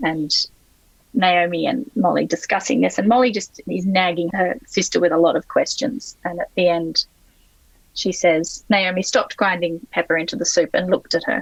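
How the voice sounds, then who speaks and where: This speaker has an Australian accent and lively intonation. The pace is moderate. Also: woman, medium pitch for a woman. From Sydney, Australia. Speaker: novelist. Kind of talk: interview answer.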